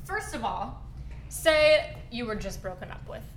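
There is noticeable background noise. Over it, a woman delivers her words at a moderate pace. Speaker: guest, wife. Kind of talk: casual podcast conversation.

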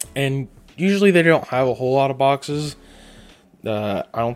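A man speaks at a moderate pace with lively intonation. He has a plain, everyday voice. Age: 20s. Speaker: podcast host. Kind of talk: casual monologue.

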